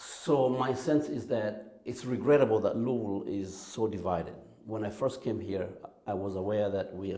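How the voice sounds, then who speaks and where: Fairly low pitch from a man, with audible room echo and noticeable background noise. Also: ordinary pitch variation, moderate pace. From Kenya. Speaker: church music director. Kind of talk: interview.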